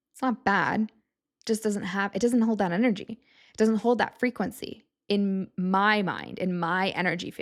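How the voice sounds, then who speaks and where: This woman has a plain, everyday voice, medium in pitch, with an American accent and fairly even intonation. The recording is very clean and the background silent. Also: moderate pace. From US Southwest, Tucson Arizona. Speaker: podcast host. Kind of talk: solo podcast monologue. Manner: casual, conversational.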